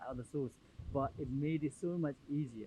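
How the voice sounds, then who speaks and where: A man's somewhat breathy voice with ordinary pitch variation, at a fairly quick pace. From Nepal. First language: Nepali. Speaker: community leader. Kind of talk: podcast interview. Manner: halting, many fillers.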